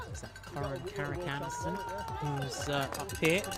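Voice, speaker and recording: With music playing behind him and audible room echo, a man speaks at a moderate pace. His pitch is fairly high and swings very widely. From born in Scotland, grew up partly elsewhere. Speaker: sports commentator. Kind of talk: live sports commentary.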